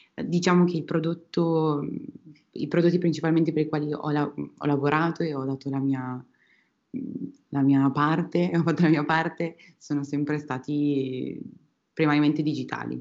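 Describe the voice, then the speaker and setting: Her voice very deep and low, a woman speaks at a moderate pace broken by long, frequent pauses. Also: fairly even intonation. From Emilia-Romagna, Italy (Piacenza). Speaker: UX designer. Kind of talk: interview. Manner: halting, many repetitions and fillers.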